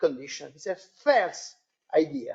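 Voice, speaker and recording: The speaker has an Italian accent. The pace is very slow. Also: woman. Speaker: academic panelist. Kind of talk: seminar discussion. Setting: seminar with audience. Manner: halting.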